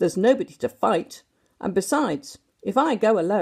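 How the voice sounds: Lively intonation runs through a natural reading voice. The background is quiet.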